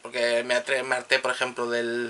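This man's voice has a bright, sharp tone and ordinary pitch variation.

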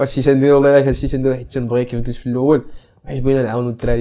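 A man talks at a very fast pace in a dark, mellow tone. The background is quiet. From Morocco. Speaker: student podcast host. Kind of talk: casual chat. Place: home room.

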